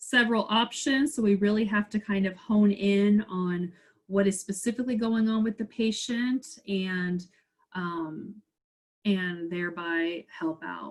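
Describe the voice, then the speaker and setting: A woman's somewhat breathy voice at a medium pitch moves at a fairly slow pace with ordinary pitch variation. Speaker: pharmacist lecturer. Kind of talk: webinar Q&A.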